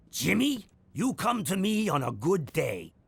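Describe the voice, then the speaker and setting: A man does a cartoonish character voice, raspy and high-pitched. He speaks at a moderate pace. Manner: blustery.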